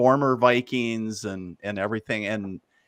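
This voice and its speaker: A man with an Upper Midwest US accent and ordinary pitch variation, in a dry, close sound with no echo. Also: very clean recording, silent background. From northern Minnesota. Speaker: psychic medium and army veteran. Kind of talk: interview. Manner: casual.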